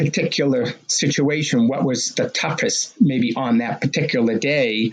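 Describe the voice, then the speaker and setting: With an American accent, a man talks at a moderate pace against noticeable background noise. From Massachusetts, Medford (Boston area). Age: 60s. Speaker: marathon runner and race director. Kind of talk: podcast interview. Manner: casual with fillers.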